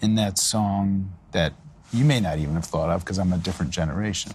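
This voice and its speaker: A man with an American accent speaks at a moderate pace in a very deep, low voice with a dark, mellow tone and ordinary pitch variation. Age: 60s. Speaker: journalist interviewer. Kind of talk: interview.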